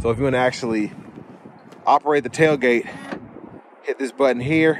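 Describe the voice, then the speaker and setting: Over light background noise, a man speaks at a fairly quick pace with ordinary pitch variation in a dry sound with no echo. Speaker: car reviewer. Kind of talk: casual walkaround commentary. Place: street. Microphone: phone near.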